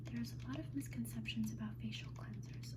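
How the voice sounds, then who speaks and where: Her tone is relaxed as a woman speaks at a very deep, low pitch. Background noise is noticeable. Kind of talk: ASMR roleplay as an esthetician, personal attention. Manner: soft-spoken, friendly, relaxed.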